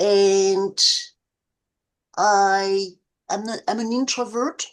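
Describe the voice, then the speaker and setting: A woman speaks with a fairly high pitch. The background is quiet. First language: not English. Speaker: activist. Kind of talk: club meeting self-introduction. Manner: halting.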